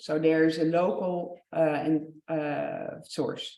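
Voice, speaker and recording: The woman's pitch is very deep and low. Audible room echo surrounds her voice. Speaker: researcher presenting project results. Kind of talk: conference presentation. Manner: hesitant, many fillers.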